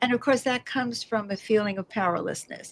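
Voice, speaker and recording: An animated woman with an American accent. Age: 70s. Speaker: socialist activist. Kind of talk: interview.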